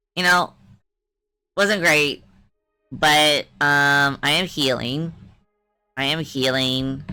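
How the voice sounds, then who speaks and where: Music plays in the background as a woman speaks at a very slow pace with long, frequent pauses. Her pitch is very deep and low, and her intonation fairly even. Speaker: vtuber streamer. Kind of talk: casual chat. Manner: restricted, stilted mouth movement.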